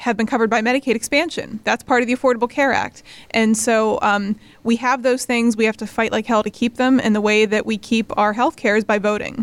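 Talking at a very fast pace in an American accent, a woman with a fairly high pitch keeps a monotone, flat intonation in a dry, close sound with no echo. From Western Pennsylvania (New Castle). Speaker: nonprofit co-founder, political organizer. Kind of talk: interview.

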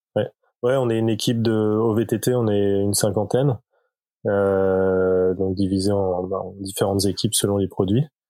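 With a dark, mellow tone, a man speaks fairly slowly in a fairly low voice, keeping his intonation fairly even and his loudness very even. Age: 40s. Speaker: cycling product designer. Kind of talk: casual interview.

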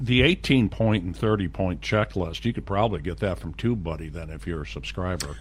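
At a fairly quick pace, a man speaks in a very deep, low voice with vocal fry, very wide pitch swings and hardly any pauses. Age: old. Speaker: video marketer, co-host. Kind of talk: casual chat.

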